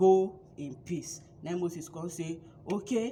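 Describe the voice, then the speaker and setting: A woman's fairly low voice over noticeable background noise. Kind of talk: casual Bible storytelling to camera. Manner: lively, chatty.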